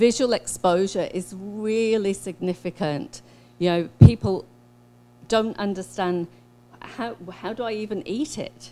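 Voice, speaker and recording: A woman with a New Zealand accent has a dark, mellow tone and medium pitch with ordinary variation. She speaks at a fairly slow pace, with big swings in loudness. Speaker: social scientist. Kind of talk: conference presentation. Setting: workshop talk, online and in person.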